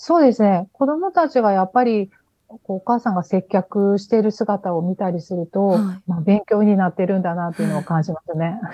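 A woman speaks in an unremarkable speaking voice. Her pitch sits in the medium range and varies in an ordinary way. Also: moderate pace. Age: 50s. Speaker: business owner. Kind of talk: radio interview.

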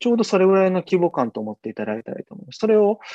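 Talking at a very fast pace, a high-pitched man swings very widely in pitch. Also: dry, close sound with no echo. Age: 30s. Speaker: TV news correspondent. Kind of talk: interview.

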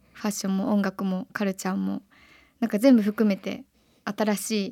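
On a very clean recording with a silent background and a dry, close sound with no echo, a woman speaks fairly quickly at medium pitch in a dark, mellow tone with monotone, flat intonation. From Japan, Kyoto. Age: 20s. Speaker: singer-songwriter. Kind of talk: radio interview.

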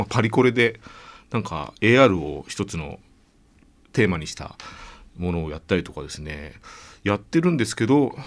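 A man with a fairly low pitch talks with long, frequent pauses. His pitch swings very widely and his loudness rises and falls sharply. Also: moderate pace. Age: 40s. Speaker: radio host. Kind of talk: radio interview. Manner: subdued.

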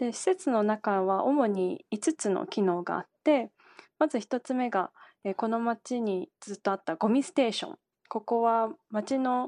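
Against a quiet background, a woman uses an ordinary speaking voice, fairly high-pitched, with lively intonation at a fairly slow pace. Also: dry, close sound with no echo. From Japan, Kanagawa. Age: 20s. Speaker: environmental company CEO. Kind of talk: radio interview. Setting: remote call.

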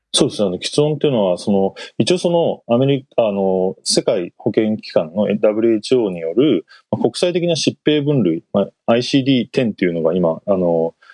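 A man's medium-pitched voice, very wide swings in pitch, a fairly slow pace. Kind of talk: radio interview. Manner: halting.

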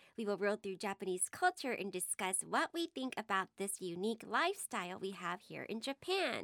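Here is a woman with an American accent and an unremarkable speaking voice, pitched in the middle range with lively intonation. She keeps a moderate pace with hardly any pauses on a very clean recording with a silent background. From Texas. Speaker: radio presenter, podcast co-host. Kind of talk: casual chat.

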